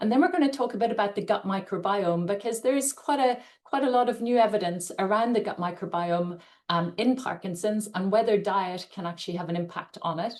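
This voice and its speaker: A woman with an Irish accent speaks at a fairly quick pace. Her medium pitch shows ordinary variation. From Ireland. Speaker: nutrition scientist and dietitian. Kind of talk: webinar lecture. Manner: hesitant, many fillers.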